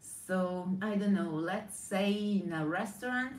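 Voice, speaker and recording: In an Italian accent, a woman with a medium pitch speaks very slowly and somewhat breathily, her intonation fairly even, with audible room echo. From Italy. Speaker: brand strategist. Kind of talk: live stream monologue. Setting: live video stream. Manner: halting.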